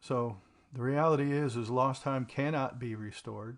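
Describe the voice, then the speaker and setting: With a quiet background, a man speaks at a fairly slow pace in an ordinary speaking voice, medium in pitch and fairly even in intonation. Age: 60s. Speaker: podcast host talking about trauma recovery. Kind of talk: personal reflective monologue. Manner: casual, with many fillers (um, uh).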